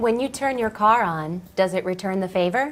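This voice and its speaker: This is a put-on character voice, breathy in quality. The pace is moderate. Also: female-sounding voice, medium pitch for a woman. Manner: without breath support.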